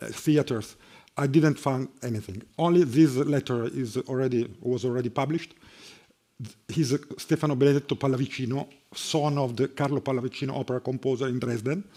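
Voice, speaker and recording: With an Italian accent, the speaker talks at a fairly quick pace in a dark, mellow tone and fairly even intonation. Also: man, medium pitch for a man. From Italy, Bologna. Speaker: harpsichordist and music professor. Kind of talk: lecture. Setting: conference hall with audience. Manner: halting, many fillers.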